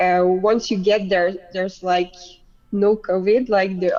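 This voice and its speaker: This woman speaks at medium pitch. She has a French accent. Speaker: beach volleyball player. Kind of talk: casual chat.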